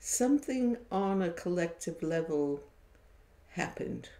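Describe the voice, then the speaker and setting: A woman speaks at a very slow pace. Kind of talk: casual live-stream storytelling. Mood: warm, reflective. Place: home room. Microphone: webcam.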